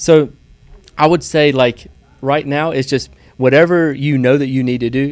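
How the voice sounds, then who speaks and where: A man with a Southern US accent speaks at a moderate pace, his pitch fairly high and his intonation fairly even. He leaves long, frequent pauses. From US South, small town. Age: 30s. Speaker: real estate investor. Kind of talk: podcast interview.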